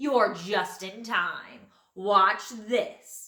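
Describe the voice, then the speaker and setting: In a put-on character voice, a female-sounding speaker talks at medium pitch. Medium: read story.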